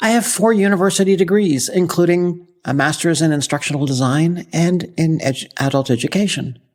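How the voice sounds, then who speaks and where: A woman with a plain, everyday voice, fairly low pitch, lively intonation and a moderate pace. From Canada, Ottawa. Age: 60s. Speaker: podcast host. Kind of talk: scripted podcast monologue.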